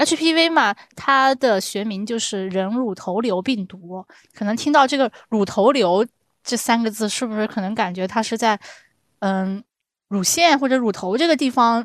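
In a plain, everyday voice, the speaker talks at a fairly slow pace with lively intonation and big swings in loudness. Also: woman, fairly high pitch for a woman, very clean recording, silent background. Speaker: podcast host. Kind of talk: casual chat.

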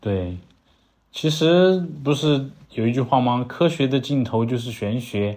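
Speaking with a strong southern Chinese accent, a man keeps a moderate pace. The background is quiet. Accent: strong southern Chinese accent in Mandarin. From southern China, Langzhong, Sichuan. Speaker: podcast co-host. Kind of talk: casual chat. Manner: halting, many fillers.

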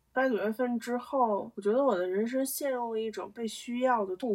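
This is a woman with an unremarkable speaking voice. She talks at a moderate pace with ordinary pitch variation. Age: 20s. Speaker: podcaster. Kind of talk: solo casual monologue. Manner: rambling with frequent fillers.

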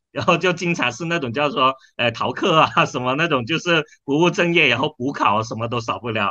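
With lively intonation, a man speaks at a fairly quick pace in a fairly high voice. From China, Dongguan (Pearl River Delta). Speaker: startup founder and CEO. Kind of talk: interview. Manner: hesitant, filler-heavy.

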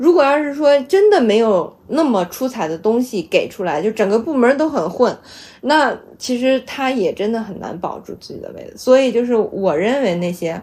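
This dark, mellow voice moves at a moderate pace with very wide pitch swings on a very clean recording with a silent background. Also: woman. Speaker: data platform programmer. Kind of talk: casual chat. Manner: loud.

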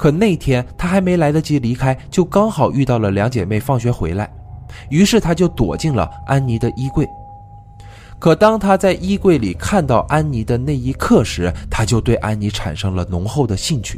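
A man talks at a moderate pace with very wide pitch swings. Noticeable background noise sits behind him. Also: medium pitch for a man. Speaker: true crime podcast host. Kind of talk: storytelling narration.

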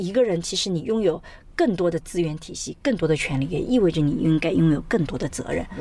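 A woman's animated, fairly low voice with lively intonation at a fairly quick pace. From China, Suzhou. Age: 40s. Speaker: sociology professor. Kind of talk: interview conversation. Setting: in a car.

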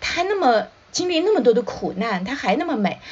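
Her pitch swinging very widely, a woman talks at a moderate pace over noticeable background noise. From China, Shanghai. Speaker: children's author and drama professor. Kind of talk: casual chat. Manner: halting, many fillers.

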